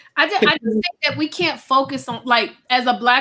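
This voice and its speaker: A woman with an American accent speaks loudly at a fairly quick pace. Her fairly high voice has a bright, sharp tone. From Virginia, US. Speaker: author and speaker. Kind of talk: casual chat.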